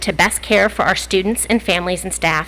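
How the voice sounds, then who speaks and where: The voice belongs to a woman. She talks at a fairly quick pace. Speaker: school district administrator. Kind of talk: prepared statement at board meeting. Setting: public board meeting. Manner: loud.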